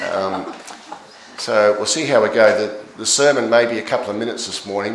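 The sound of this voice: A man speaks at a moderate pace in a fairly low pitch. Strong room echo surrounds his voice.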